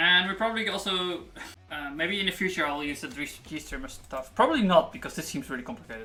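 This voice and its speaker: With noticeable background noise behind it, the speech runs at a very fast pace. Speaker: programmer live-streaming coding. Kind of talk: live coding stream talk. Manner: halting, many fillers.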